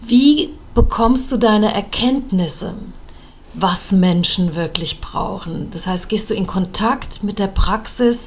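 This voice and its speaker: Over noticeable background noise, a woman with a fairly high pitch talks at a very slow pace with lively intonation. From Germany. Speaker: politician and podcast host. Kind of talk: interview.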